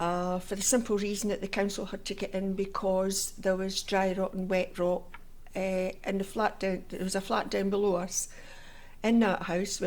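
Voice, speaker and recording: A woman speaks with a Scottish accent. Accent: Scottish (Fife). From Scotland, Fife (Inverkeithing). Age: 70s. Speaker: oral history interviewee. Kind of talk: oral history interview. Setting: civic centre room.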